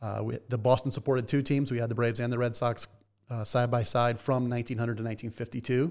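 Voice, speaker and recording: In a very clean recording with a silent background, a man with an American accent talks at a very fast pace and a medium pitch. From US South, Atlanta, Georgia. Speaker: baseball team historian. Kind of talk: interview conversation.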